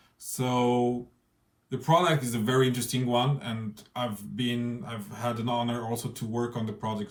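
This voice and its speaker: At a moderate pace, a man with a non-native accent speaks at a medium pitch with fairly even intonation. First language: not English. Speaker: interviewer. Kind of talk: spoken introduction. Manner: halting.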